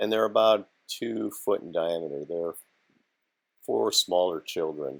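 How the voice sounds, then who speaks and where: The voice belongs to a man. He talks at a fairly slow pace. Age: 60s. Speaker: hobby drone pilot, grandfather. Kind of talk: narration over flight footage.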